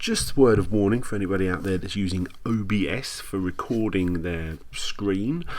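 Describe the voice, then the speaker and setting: An unremarkable speaking voice from a man with fairly low pitch and ordinary pitch variation. He keeps a moderate pace with hardly any pauses. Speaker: YouTuber making retro gaming videos. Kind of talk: casual commentary on own old video.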